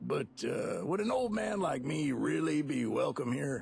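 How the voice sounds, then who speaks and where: A man uses a raspy, put-on character voice at a moderate pace, his loudness very even. Clear music plays in the background. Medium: machinima. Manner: folksy, drawling.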